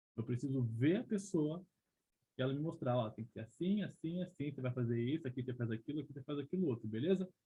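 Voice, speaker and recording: His words come very fast. The man's pitch varies in an ordinary way. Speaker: leadership trainer. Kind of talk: online training presentation. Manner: animated.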